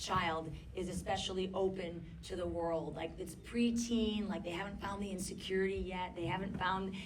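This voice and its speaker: With audible room echo and noticeable background noise, a woman speaks at medium pitch. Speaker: documentary filmmaker. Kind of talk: audience Q&A discussion. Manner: loud. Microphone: poor handheld microphone.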